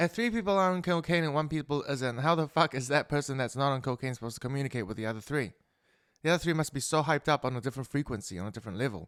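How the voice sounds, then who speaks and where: A man mumbles at a very fast pace, his fairly high voice carrying lively intonation. The sound is dry and close with no echo, on a very clean recording with a silent background. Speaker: podcaster. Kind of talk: casual monologue. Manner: mumbling.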